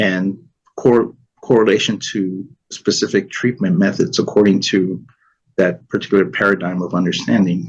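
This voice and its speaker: A man with a Spanish accent speaks at a moderate pace in a fairly low pitch. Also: ordinary pitch variation. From New York City, Spanish-speaking home. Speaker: Chinese medicine expert. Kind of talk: interview.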